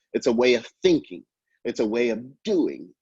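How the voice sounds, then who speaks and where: A man speaks in a New York accent, his voice dry and close with no echo. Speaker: professor. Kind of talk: lecture. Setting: video call. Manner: fast.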